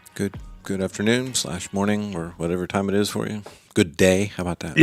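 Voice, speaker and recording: With music in the background, a man talks in a fairly low voice at a fairly quick pace with ordinary pitch variation. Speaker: podcast co-host.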